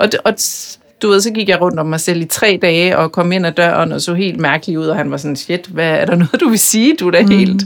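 Noticeable background noise sits behind the voice. A woman talks at a fairly low pitch with ordinary pitch variation. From Denmark, Bornholm. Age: 40s. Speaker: media executive and author. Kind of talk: interview conversation. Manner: hesitant, many fillers.

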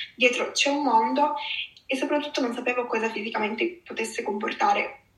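A woman with a high pitch speaks fairly quickly with lively intonation against noticeable background noise. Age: 20s. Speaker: eating disorder survivor. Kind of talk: testimony. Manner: halting.

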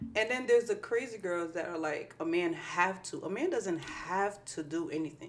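With lively intonation and hardly any pauses, a woman talks at a moderate pace. Noticeable background noise runs through the clip. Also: medium pitch for a woman. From New Jersey, Irvington. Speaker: podcast co-host. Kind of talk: casual chat.

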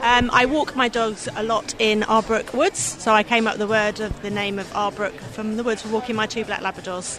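Over noticeable background noise, a woman with a fairly high pitch talks at a fairly quick pace with fairly even intonation and hardly any pauses. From Surrey, England. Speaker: candle maker. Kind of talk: casual interview. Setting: gift fair.

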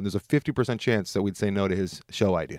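A man's unremarkable speaking voice, fairly low in pitch, with an American accent, a fairly quick pace and ordinary pitch variation, on a very clean recording with a silent background. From Southern California. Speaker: podcast co-host. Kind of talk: casual chat.

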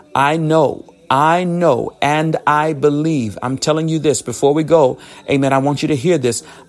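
Fairly high in pitch, a man talks at a moderate pace with fairly even intonation while noticeable background noise continues. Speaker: prayer minister. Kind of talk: fervent prayer and preaching, live online devotional. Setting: online livestream with connection interruptions. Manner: fervent, impassioned, call-and-response urging; repetitive, rhythmic, praising.

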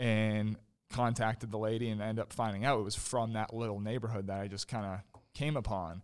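Medium-pitched man with a plain, everyday voice and fairly even intonation on a very clean recording with a silent background. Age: 20s. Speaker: landscaping business owner. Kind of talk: interview.

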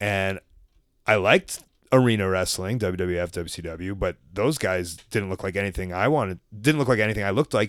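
Speaking at a fairly quick pace, a man with an American accent uses a fairly low pitch and ordinary pitch variation. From Chicago area, US Midwest. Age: 30s. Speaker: pro wrestler and podcaster. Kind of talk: casual interview conversation.

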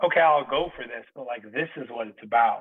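A man with a New York accent talks at a moderate pace with ordinary pitch variation. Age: 30s. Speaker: singer-songwriter and former MMA fighter. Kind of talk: interview conversation. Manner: emphatic, profane.

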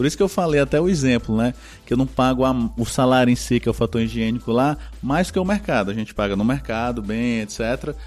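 A man's medium-pitched voice with lively intonation, a fairly quick pace and very even loudness, music in the background. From Brazilian Northeast. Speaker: business consultant. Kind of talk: casual interview chat.

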